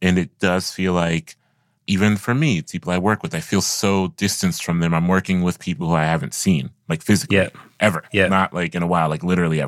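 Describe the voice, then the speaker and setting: Talking at a very fast pace, a man with an American accent uses a very deep, low pitch with ordinary pitch variation on a very clean recording with a silent background. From US Midwest, Columbus, Ohio. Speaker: podcast host, poet and culture critic. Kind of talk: interview conversation; scripted narration. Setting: recorded alone at home.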